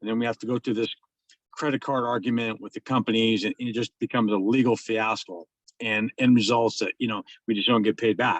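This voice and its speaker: At medium pitch, a man talks at a fairly quick pace. His intonation is monotone and flat, and the sound is dry and close with no echo. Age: 60s. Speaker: plumbing business owner, client testimonial. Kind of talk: testimony. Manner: halting.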